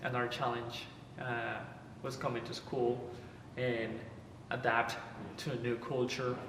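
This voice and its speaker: A man with a Spanish accent talks at a medium pitch and a fairly slow pace in a flat monotone, with long, frequent pauses, noticeable background noise and audible room echo. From Dominican Republic, San Pedro de Macorís. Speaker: university baseball player. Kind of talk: interview testimony. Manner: halting, many fillers.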